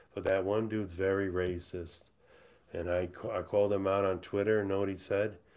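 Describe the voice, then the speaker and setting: The speaker has an American accent and talks at a moderate pace in a flat monotone. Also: man, fairly low pitch for a man. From USA. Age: 50s. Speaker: livestreamer. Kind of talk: casual livestream monologue. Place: home room. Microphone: webcam.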